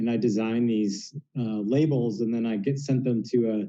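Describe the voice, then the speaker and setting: A man with a Southwest US accent, medium in pitch, dark and mellow in tone, fairly slow, with ordinary pitch variation. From Phoenix, Arizona. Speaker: denim brand founder. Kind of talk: casual chat. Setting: video call. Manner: halting.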